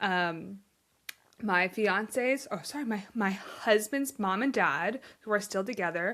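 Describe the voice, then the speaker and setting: On a very clean recording with a silent background, a woman with a bright, sharp tone talks at medium pitch and a fairly slow pace, with ordinary pitch variation. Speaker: podcast host. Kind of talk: casual chat. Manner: animated.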